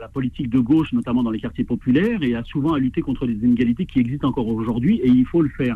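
This man has a plain, everyday voice at medium pitch, with ordinary pitch variation. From French suburbs. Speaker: association president. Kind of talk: phone interview.

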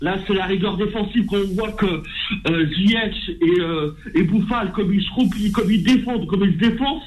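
A man with a high pitch talks at a moderate pace with ordinary pitch variation, amid noticeable background noise and audible room echo. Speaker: radio caller, football fan. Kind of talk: phone-in opinion. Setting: phone call.

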